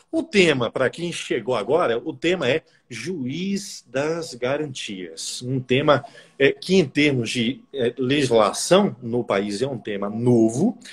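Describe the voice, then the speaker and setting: The speech comes at a very slow pace with lively intonation. The voice is somewhat breathy. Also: man, medium pitch for a man. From Brazil, Bahia (Salvador). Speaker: law professor and prosecutor, interviewer. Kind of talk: casual interview on a live stream. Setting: Instagram live stream.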